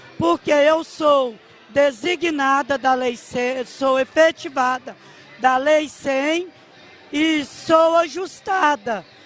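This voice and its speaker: With music in the background, a woman speaks at a very slow pace in a high pitch with ordinary pitch variation. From Diamantina, Minas Gerais, Brazil. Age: 50s. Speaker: teacher. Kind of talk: testimony.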